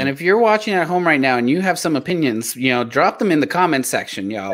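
With an American accent, a man talks fairly quickly at a fairly high pitch with very wide pitch swings. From South Texas, Mexican American. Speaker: podcast co-host. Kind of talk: casual chat. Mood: warm, friendly. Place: home room. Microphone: earbuds.

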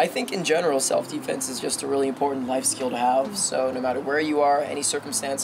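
Noticeable background noise under a very fast pace of speech. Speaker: guest martial arts instructor. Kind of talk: interview answer. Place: street.

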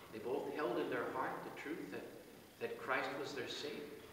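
With audible room echo and light background noise, a man talks at a moderate pace. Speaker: officiant at a burial service. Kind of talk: sermon at a burial service, reading psalm and offering comfort. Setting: outdoor cemetery committal, small gathering. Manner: calm, measured, pastoral, with occasional hesitations. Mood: solemn, personal, comforting. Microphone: camera far.

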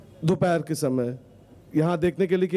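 A man speaks at a high pitch. His tone is dark and mellow. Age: 40s. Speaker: audience member asking a question; audience member. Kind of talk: audience question. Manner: halting. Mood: agitated, challenging. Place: stadium. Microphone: handheld.

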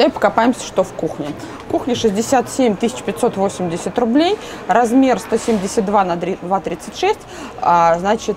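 The speaker uses lively intonation over light background noise. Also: woman. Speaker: interior furniture vlogger. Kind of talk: casual video store walkthrough review; casual vlog chat. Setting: furniture store showroom. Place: shop. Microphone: lapel.

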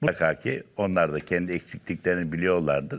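This man talks at a fairly quick pace with a very deep, low pitch. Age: 70s. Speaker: dance instructor. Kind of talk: casual chat. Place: studio. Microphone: lapel.

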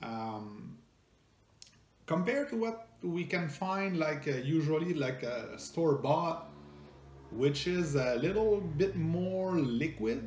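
Speaking slowly with lively intonation, the man has a fairly high pitch and a French Canadian accent. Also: slightly mellow tone.

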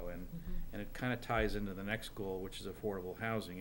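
A man talks at a fairly quick pace and a fairly low pitch. Noticeable background noise is present. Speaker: town manager. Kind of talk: public meeting report. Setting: town board meeting. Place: meeting room. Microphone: podium.

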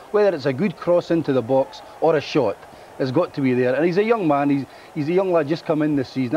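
This man talks at a very fast pace with lively intonation and a fairly high pitch. Noticeable background noise runs under his voice. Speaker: football pundit. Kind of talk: post-match studio analysis.

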